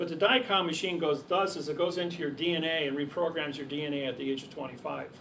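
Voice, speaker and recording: Amid audible room echo, a man speaks at a very fast pace with fairly even intonation. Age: 60s. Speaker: seminar speaker. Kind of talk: lecture.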